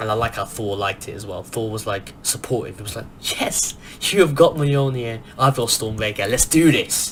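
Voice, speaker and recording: A man talks at a medium pitch with hardly any pauses and ordinary pitch variation. His loudness swings widely over noticeable background noise. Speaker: movie review youtuber. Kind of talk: casual film review monologue. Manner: soft-spoken; animated, fast with many restarts.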